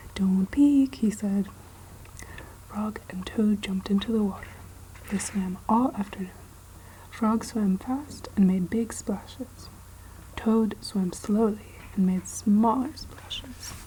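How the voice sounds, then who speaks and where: A soft-spoken woman whispers at a very slow pace, leaving long, frequent pauses. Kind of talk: children's book reading. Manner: soft-spoken, whispered.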